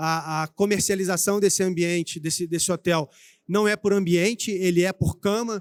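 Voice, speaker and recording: A man with a Rio de Janeiro accent speaks in a high pitch at a moderate pace. His intonation is fairly even, and the sound is dry and close with no echo. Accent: carioca. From Brazil, Rio de Janeiro. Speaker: IT executive speaking at trade show. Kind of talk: conference talk. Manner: hesitant, many fillers.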